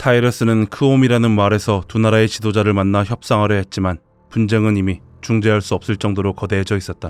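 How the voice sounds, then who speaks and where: The recording is dry and close with no echo as a man talks very fast, his fairly low pitch held to fairly even intonation. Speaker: voice actor. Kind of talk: game lore story narration.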